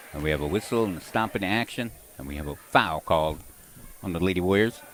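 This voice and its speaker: A man talks at a very fast pace in a very deep, low voice. His pitch varies an ordinary amount, while his loudness swings widely. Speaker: basketball play-by-play announcer. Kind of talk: live commentary.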